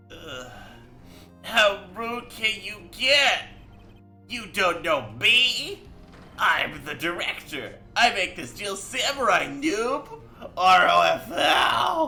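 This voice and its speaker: Speaking in a put-on character voice at a fairly high pitch, the speaker swings very widely in pitch, moves at a very slow pace with long, frequent pauses, and has music playing in the background. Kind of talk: online gamer slang. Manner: arrogant, mocking.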